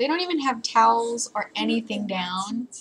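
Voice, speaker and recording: Speech at a fairly slow pace runs over light background noise. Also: woman. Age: 20s. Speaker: youtuber. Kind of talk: reaction video. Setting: webcam at computer. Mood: amused, playful. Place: home room. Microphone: webcam.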